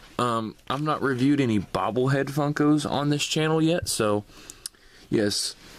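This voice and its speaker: Keeping very even loudness, a man with a fairly high pitch speaks at a moderate pace. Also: ordinary pitch variation. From US South. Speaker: toy reviewer YouTuber. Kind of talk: product review. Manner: casual.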